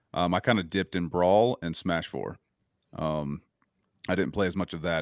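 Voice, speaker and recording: A man speaks at a moderate pace with an American accent and a very deep, low pitch. There is vocal fry, and the sound is dry and close with no echo. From North Carolina. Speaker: musician. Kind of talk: casual chat. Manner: halting.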